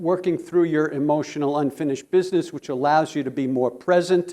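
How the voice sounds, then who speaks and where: There's a dark, mellow tone to this man's voice, which has ordinary pitch variation. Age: 70s. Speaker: psychologist and resilience speaker. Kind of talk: conference presentation.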